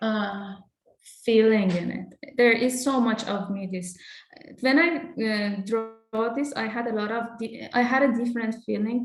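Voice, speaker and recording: With a Persian accent, a woman speaks at a fairly high pitch. Her pace is fairly slow and her intonation fairly even. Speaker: artist. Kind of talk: interview. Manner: halting, with many repetitions.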